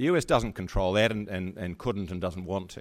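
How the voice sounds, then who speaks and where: Using an unremarkable speaking voice, a man talks with ordinary pitch variation. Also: very clean recording, silent background. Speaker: former internet governance organization chairman and lawyer. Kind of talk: panel discussion.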